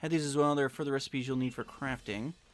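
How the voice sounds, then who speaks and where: A man's put-on character voice at medium pitch, very fast, with fairly even intonation. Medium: game stream. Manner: formal, stern.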